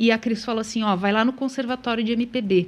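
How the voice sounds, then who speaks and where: Her pitch sits fairly high for a woman. The intonation stays fairly even. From Paraná, Brazil (small town of 5,000). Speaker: singer-songwriter. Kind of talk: live radio interview. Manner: calm, soothing.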